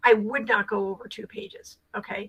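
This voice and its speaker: Her pitch fairly high and her tone bright and sharp, a woman speaks at a moderate pace. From Rhode Island, US. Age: 60s. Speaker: career coach and nonprofit co-founder. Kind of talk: video call mentorship advice. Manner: chatty.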